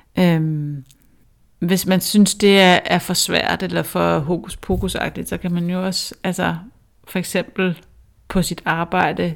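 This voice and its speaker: A woman speaks at a fairly slow pace with a fairly low pitch and fairly even intonation, in a very clean recording with a silent background. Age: 40s. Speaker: author and public speaker. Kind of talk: interview conversation. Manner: hesitant, with fillers.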